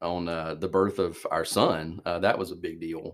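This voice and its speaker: A man's fairly even voice in an Alabama accent, at a moderate pace, on a very clean recording with a silent background. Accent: Alabama Southern. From US South. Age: 30s. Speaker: church youth minister. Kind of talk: casual interview chat.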